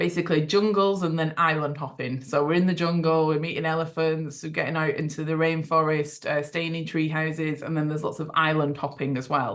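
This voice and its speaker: In an English accent, a woman speaks at a very deep, low pitch with monotone, flat intonation and a fairly quick pace. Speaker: travel company owner presenting tours. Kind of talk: online presentation to prospective clients. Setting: video call. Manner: fast; many fillers and restarts.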